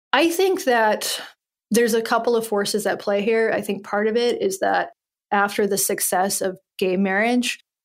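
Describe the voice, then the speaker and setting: In a very clean recording with a silent background, a woman with an American accent and an ordinary speaking voice talks at a moderate pace with fairly even intonation. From US South, Western North Carolina. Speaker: podcast host and journalist. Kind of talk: casual interview conversation.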